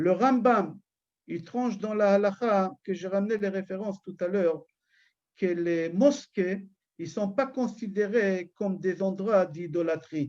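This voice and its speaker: A man with an Israeli accent, high-pitched and very slow, against a quiet background. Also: ordinary pitch variation. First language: Hebrew (speaking French). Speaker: rabbi. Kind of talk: religious lecture. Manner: loud and firm; halting, repeats words.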